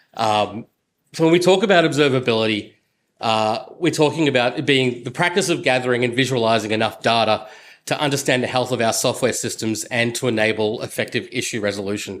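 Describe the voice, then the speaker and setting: This man has an Australian accent and a medium pitch with ordinary variation. He talks at a fairly quick pace. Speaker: software engineer. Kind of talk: conference talk. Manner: many fillers (uh, um).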